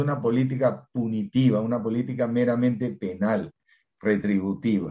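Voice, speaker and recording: The voice has a dark, mellow tone. It belongs to a man. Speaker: law professor and criminologist. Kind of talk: interview.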